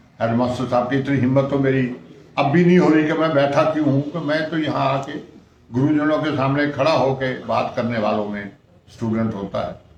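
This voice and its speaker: A man with a fairly high voice speaks at a moderate pace, with ordinary pitch variation. The room echoes audibly and background noise is noticeable. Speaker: retired bank clerk, former student. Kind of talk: interview. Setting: school headmaster's room.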